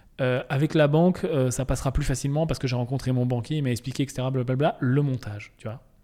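A dark, mellow voice rushes along at a very fast pace with hardly any pauses and fairly even intonation. The recording is very clean, with a silent background. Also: man, medium pitch for a man. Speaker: podcast host. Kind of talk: solo podcast monologue. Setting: office. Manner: casual, hesitant with fillers.

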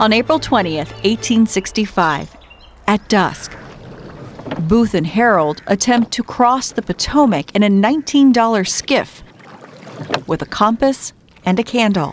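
With noticeable background noise behind her, a woman with a fairly high pitch talks at a very slow pace, using lively intonation, very even loudness and long, frequent pauses. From southern Maryland. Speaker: podcast host and TV reporter. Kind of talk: scripted narration.

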